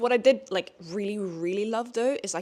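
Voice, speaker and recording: The speaker has a Norwegian accent and ordinary pitch variation. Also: woman. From Norway. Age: 20s. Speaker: booktuber. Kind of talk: casual chat. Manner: animated; halting.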